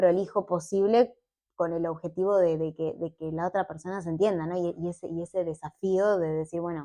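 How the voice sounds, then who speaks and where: A woman with a plain, everyday voice speaks at a moderate pace and medium pitch, her intonation fairly even against a quiet background. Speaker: petroleum engineer and science communicator. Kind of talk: casual interview chat.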